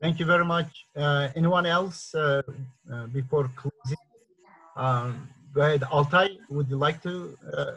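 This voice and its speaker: Speaking with a non-native accent, a man with a fairly high pitch moves at a fairly slow pace with ordinary pitch variation and long, frequent pauses. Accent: non-native, says pronunciation is horrible. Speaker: meeting organizer, activist author. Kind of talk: online group discussion moderation. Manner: hesitant, many fillers.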